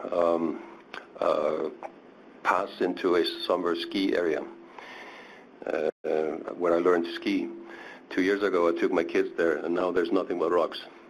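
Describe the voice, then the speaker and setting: Speaking at a fairly slow pace, a man's voice carries audible echo from the room. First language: not English (third language). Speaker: Arctic researcher, panelist. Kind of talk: panel discussion. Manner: halting, many fillers.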